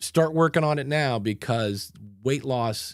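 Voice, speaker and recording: In a very clean recording with a silent background, a man with an American accent talks at a fairly slow pace. He has an unremarkable speaking voice, medium in pitch with ordinary variation. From Ohio, US. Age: 60s. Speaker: podcast coach. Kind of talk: casual chat.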